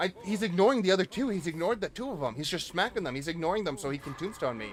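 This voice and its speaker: A man speaks in a Boston accent at a very fast pace. His pitch swings very widely. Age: 20s. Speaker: gaming streamer. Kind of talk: live gameplay commentary. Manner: animated.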